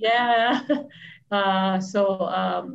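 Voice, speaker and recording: With typical pitch movement, a woman's voice comes across as somewhat breathy. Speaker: library host interviewing an author. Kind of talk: live-stream interview hosting, casual talk. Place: home room. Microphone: video call.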